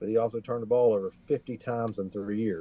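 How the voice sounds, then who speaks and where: A man's medium-pitched voice, dark and mellow in tone, at a fairly quick pace, with a dry, close sound and no echo. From West Virginia, rural Appalachia. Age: 40s. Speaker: country musician and war veteran. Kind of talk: casual chat. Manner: animated.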